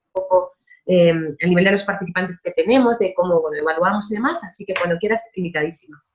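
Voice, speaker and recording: Very fast speech in a woman's medium pitch. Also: ordinary pitch variation. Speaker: social worker, employment program director. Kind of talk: online panel discussion.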